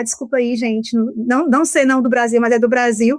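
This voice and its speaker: A woman with a strong Ceará accent speaks in a high voice. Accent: Ceará Brazilian accent, keeps it strongly. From Brazil, Ceará. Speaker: law professor. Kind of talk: podcast interview.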